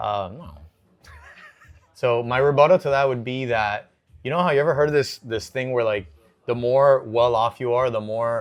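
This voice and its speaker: Long pauses come often as a man speaks at a moderate pace. His pitch is medium, with ordinary variation. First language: Spanish. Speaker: fitness podcast co-host. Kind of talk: casual debate chat.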